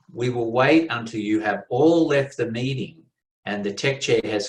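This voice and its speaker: A man speaks at a moderate pace, with a medium pitch and ordinary pitch variation. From Australia. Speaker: contest interviewer at a Toastmasters meeting. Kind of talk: interview. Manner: formal.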